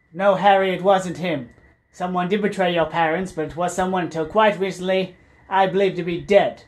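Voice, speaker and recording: Doing a put-on character voice, a man speaks at a fairly quick pace with a high pitch. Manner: calm, measured, quietly wry.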